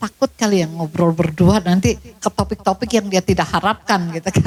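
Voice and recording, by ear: At a moderate pace, a woman talks in a slightly mellow tone.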